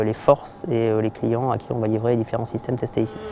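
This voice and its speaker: There is noticeable background noise as a man talks at a medium pitch. His intonation is monotone and flat. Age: 30s. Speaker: military test pilot. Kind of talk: interview testimony. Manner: hesitant with many fillers.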